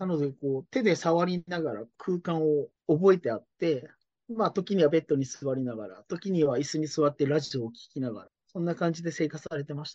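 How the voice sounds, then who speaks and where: Against a quiet background, a plain, everyday voice moves at a fairly quick pace with ordinary pitch variation. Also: man, fairly high pitch for a man. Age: 40s. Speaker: care business owner. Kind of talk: interview.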